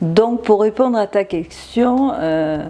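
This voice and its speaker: A woman speaks in a dark, mellow tone. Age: 60s. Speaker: interviewee sharing her love story. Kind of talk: interview conversation. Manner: halting, many repetitions and hesitations.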